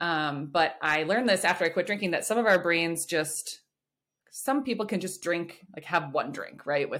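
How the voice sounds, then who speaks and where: A woman talks at a fairly quick clip with lively intonation and a fairly low pitch. It is an unremarkable speaking voice. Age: 30s. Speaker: freelance writer and psychometrist. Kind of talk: casual chat.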